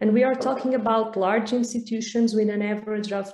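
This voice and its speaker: With a Portuguese accent, a woman talks at a moderate pace in a fairly high pitch, her tone dark and mellow. Her pitch variation is ordinary, and room echo is audible. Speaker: researcher. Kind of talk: conference presentation.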